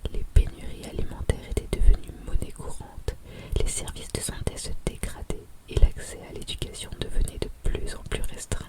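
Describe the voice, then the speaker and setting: Whispering in a calm tone at a moderate pace, a woman is heard over noticeable background noise. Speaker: French-as-a-foreign-language teacher and ASMR storyteller. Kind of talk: audiobook-style story narration / sleep story. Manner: whispered, soft-spoken, calm.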